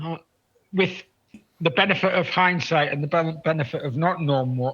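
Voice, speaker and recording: Speaking fairly quickly with lively intonation, a man with a northern English accent has a high pitch and a bright, sharp tone. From northeast England. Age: 60s. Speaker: photographer. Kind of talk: casual chat. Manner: halting, repetitive.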